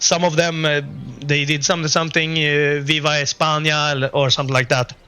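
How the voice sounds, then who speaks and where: Fairly quick, monotone, flat delivery at very even loudness, with noticeable background noise. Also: man, fairly high pitch for a man. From Sweden. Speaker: gaming YouTuber. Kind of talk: casual gameplay commentary. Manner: halting, many fillers.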